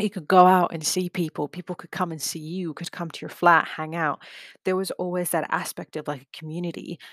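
A woman's fairly low, monotone, flat voice at a fairly quick pace, dry and close with no echo, on a very clean recording with a silent background. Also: big swings in loudness. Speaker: podcast host, student project coordinator. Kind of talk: casual advice talk.

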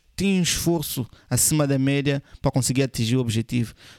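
Recorded in a dry, close sound with no echo, a man talks at a moderate pace in a fairly high pitch with ordinary pitch variation. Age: 20s. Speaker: podcast host, men's lifestyle coach. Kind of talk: motivational monologue. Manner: emphatic, repetitive.

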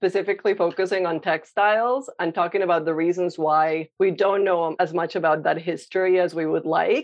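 Speaking at a moderate pace, a woman with a Spanish accent keeps a medium pitch and ordinary pitch variation. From Colombia (Medellin). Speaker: visual artist, painter. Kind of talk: interview. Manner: hesitant, many fillers.

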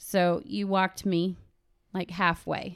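Recorded very cleanly with a silent background, a woman with an American accent speaks at medium pitch. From Cincinnati, Ohio. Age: 30s. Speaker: stay-at-home mother. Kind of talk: casual chat.

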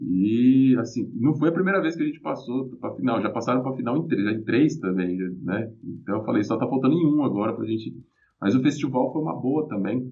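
With lively intonation, a man speaks at a fairly quick pace in a medium pitch. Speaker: metal band guitarist and vocalist. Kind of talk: casual interview chat. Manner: hesitant, many filler repetitions.

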